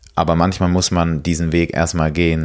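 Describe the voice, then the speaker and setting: A man with a very deep, low pitch speaks at a moderate pace. His intonation is monotone and flat. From Switzerland, Basel. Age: 20s. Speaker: slam poet and rapper. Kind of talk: interview. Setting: at a kitchen table.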